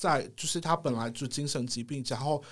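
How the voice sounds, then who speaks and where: An ordinary speaking voice moves at a fairly quick pace with ordinary pitch variation. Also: man. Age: 30s. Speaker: hospital psychiatric social worker. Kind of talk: casual interview chat.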